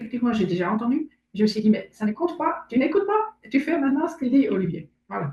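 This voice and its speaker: In a German accent, a speaker with a dark, mellow tone races along at a very fast pace, with very wide pitch swings and big swings in loudness. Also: woman, high pitch for a woman. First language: German (speaking French). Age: 60s. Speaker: aspiring coach. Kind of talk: testimony interview. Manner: halting.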